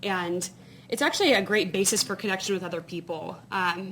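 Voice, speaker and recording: With a Southern US accent, a woman speaks in a medium pitch. Her pace is moderate and her intonation fairly even. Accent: Southern US (Georgia). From Georgia (US South). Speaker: conference speaker. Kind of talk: keynote talk. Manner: casual, many fillers.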